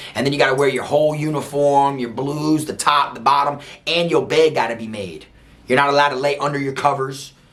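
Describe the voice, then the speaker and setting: A man talks at a fairly quick pace with fairly high pitch. Audible room echo and noticeable background noise surround his voice. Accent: American. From South Florida. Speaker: former prison inmate telling stories. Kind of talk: casual storytelling monologue. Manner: animated.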